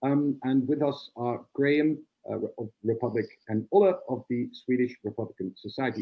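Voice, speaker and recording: The background is quiet. A man talks with a Dutch accent. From Netherlands. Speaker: republican society spokesman, debate moderator. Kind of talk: live online panel debate. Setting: video call. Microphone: video call.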